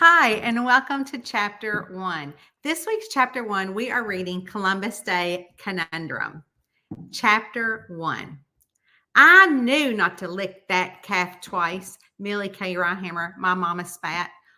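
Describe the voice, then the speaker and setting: On a very clean recording with a silent background, a woman with a Southern US accent talks at a very slow pace and medium pitch, her tone bright and sharp and her intonation lively. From Southern United States. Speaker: mystery author. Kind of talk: audiobook-style reading of a novel chapter.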